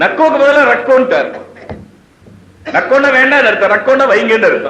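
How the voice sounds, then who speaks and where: A man's raised, projected voice at an extremely high pitch, fairly even in intonation, over noticeable background noise. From Tamil Nadu, India. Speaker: Islamic scholar giving a religious sermon. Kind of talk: religious sermon / bayan on child rearing.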